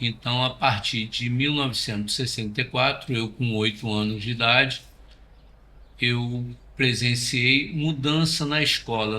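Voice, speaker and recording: The tone here is bright and sharp. The intonation stays fairly even at a fairly slow pace. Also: man. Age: 70s. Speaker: interviewee, witness of dictatorship. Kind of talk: interview testimony.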